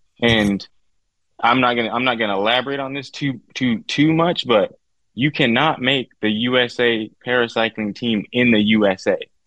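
Speaking at a moderate pace, a man of medium pitch has an American accent. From Southern California (Victorville). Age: 40s. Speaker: wheelchair athlete with quadriplegia. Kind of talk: casual interview. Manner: animated.

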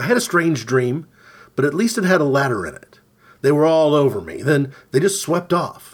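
In a normal speaking voice, a man talks at a moderate pace with fairly high pitch, lively intonation and big swings in loudness. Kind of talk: literary audiobook reading of a surreal short story.

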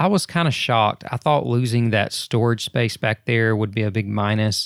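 A man speaks in a normal speaking voice, fairly low in pitch with ordinary pitch variation. The recording is very clean and silent behind him, dry and close with no echo. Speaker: podcast host. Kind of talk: casual chat. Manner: chatty, joking.

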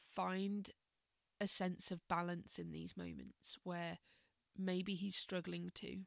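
A woman speaks in a calm tone at a very slow pace, with long, frequent pauses. The sound is dry and close, with no echo. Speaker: meditation and mindfulness teacher. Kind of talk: casual podcast monologue. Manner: hesitant, many fillers.

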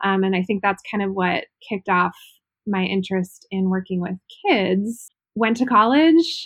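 With an American accent, a woman talks at a moderate pace and medium pitch, with ordinary pitch variation and a dry, close sound with no echo. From Ohio. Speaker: environmental educator. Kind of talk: interview.

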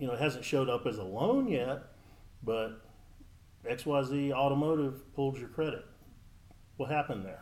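A man with an American accent and a fairly high pitch speaks at a moderate pace with ordinary pitch variation, long, frequent pauses and audible room echo. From Texas (Dallas). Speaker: mortgage loan officer. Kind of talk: casual interview.

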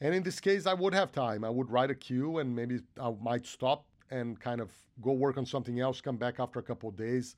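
A man with a Portuguese accent at a medium pitch, fairly quick pace and ordinary pitch variation, in a very clean recording with a silent background. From Brazil. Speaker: film composer. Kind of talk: interview.

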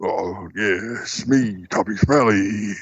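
In a put-on character voice, a man sounds raspy and fairly low. His pitch variation is ordinary.

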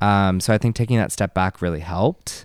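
On a very clean recording with a silent background and a dry, close sound with no echo, a man with an American accent speaks in an unremarkable speaking voice at fairly low pitch and a moderate pace. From US Northeast, Massachusetts. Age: 20s. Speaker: dancer and choreographer. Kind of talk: casual chat. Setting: studio.

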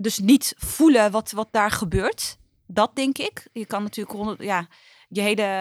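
At a fairly slow pace, a woman talks in an ordinary speaking voice, recorded very cleanly with a silent background and a dry, close sound with no echo. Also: fairly high pitch for a woman, ordinary pitch variation. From Netherlands, Utrecht. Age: 30s. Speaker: trade union official. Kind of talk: interview. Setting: studio.

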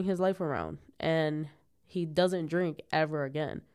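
A woman speaks at a fairly slow pace. The recording is very clean, and the background is silent. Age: 20s. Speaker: podcast host. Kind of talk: solo casual monologue. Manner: casual, animated.

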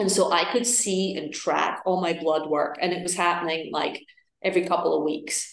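The speaker has an Edinburgh accent and fairly even intonation. The pace is moderate, and audible room echo can be heard. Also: woman, fairly low pitch for a woman. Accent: Scottish (Edinburgh). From Scotland, Edinburgh. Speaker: wellness coach and yoga teacher, cancer survivor. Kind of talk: casual interview chat.

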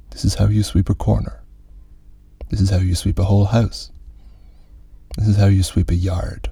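With long, frequent pauses, a man speaks in a very deep, low, somewhat breathy voice with fairly even intonation. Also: moderate pace, very even loudness. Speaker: podcast host reading fiction aloud. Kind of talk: literary audiobook reading, calm, unvoiced. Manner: even, measured, restful delivery without character voices or accents.

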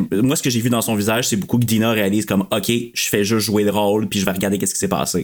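In a Quebec accent, a man speaks with fairly low pitch and fairly even intonation on a very clean recording with a silent background. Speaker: podcast guest. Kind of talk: casual chat.

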